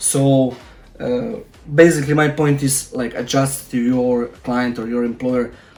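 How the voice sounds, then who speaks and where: A man's medium-pitched voice in a Croatian accent, moderate in pace with fairly even intonation, music in the background. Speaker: freelancer and tutorial YouTuber. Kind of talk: casual advice talk to camera. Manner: halting, with many fillers.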